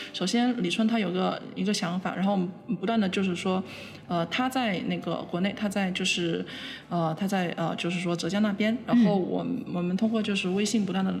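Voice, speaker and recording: Amid noticeable background noise and audible room echo, a woman speaks at a medium pitch and a fairly quick pace with fairly even intonation. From Guangzhou, China. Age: young. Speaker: visual artist. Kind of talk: interview. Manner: hesitant, many fillers.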